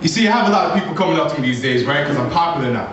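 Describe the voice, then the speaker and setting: A man rushes through his words at a very fast pace as noticeable noise plays behind him. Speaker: spoken word poet. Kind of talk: live spoken word poetry performance. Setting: live venue.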